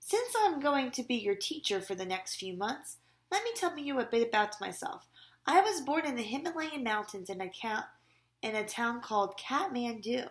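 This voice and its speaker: Using a hoarse, put-on character voice, a woman speaks high-pitched at a moderate pace with very wide pitch swings. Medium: read story. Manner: smooth and comforting in his borrowed voice.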